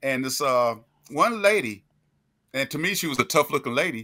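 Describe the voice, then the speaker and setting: A man with a North Carolina accent speaks in a bright, sharp tone on a very clean recording with a silent background. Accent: Southern US (North Carolina). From US South, Greensboro, North Carolina. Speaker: podcast co-host, military veteran. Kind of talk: casual storytelling.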